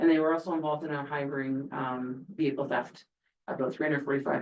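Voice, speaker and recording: A woman's very deep, low voice at a very fast pace, with fairly even intonation. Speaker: police officer. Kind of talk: council meeting report. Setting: council meeting. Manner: hesitant, many fillers.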